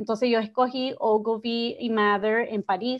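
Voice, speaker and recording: The intonation stays fairly even. A woman talks over a quiet background. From Miami, Nicaraguan family. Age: young. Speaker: advertising executive; guest. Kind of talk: interview. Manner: halting, many fillers. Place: home room. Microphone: video call.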